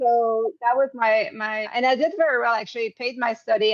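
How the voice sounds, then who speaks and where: This woman has a French-Canadian accent and a fairly high pitch. She talks at a moderate pace. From Quebec. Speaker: executive coach and hypnotherapist. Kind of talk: interview conversation. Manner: halting, many fillers.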